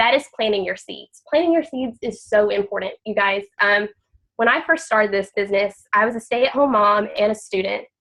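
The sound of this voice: This woman speaks at a moderate pace and a medium pitch, with a nasal, fairly bright tone and ordinary pitch variation.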